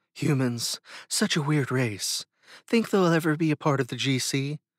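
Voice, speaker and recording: Over a silent background in a very clean recording, a man uses a fairly high-pitched, put-on character voice at a moderate pace. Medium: read story.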